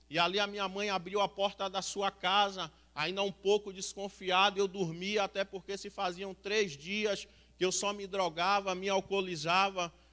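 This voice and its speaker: At a moderate pace, a man projects a raised, high-pitched voice with a bright, sharp tone and monotone, flat intonation. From Salvador, Bahia, Brazil. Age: 30s. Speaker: recovered homeless man, mission member. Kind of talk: testimony. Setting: church.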